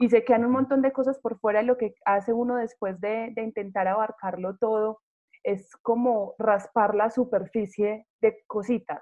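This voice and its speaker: A normal speaking voice from a woman, fairly high in pitch, fairly even in intonation, at a moderate pace. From provincial Colombia. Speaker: radio host. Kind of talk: radio interview.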